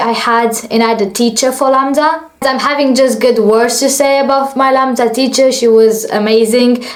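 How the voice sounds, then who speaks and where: Over noticeable background noise, a woman with a high voice talks at a moderate pace in a monotone, flat intonation, keeping her loudness very even and hardly pausing. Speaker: vlogger and aspiring actress. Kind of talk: story time vlog.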